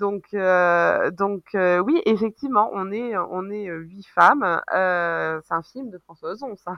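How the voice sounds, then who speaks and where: Very slow yet with hardly any pauses, a woman speaks at a medium pitch with ordinary pitch variation and big swings in loudness. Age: 30s. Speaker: business founder. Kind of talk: casual interview.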